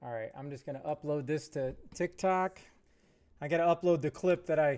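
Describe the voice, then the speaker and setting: A loud man's voice, fairly high-pitched, at a moderate pace with ordinary pitch variation. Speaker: gaming streamer. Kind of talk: live stream chat.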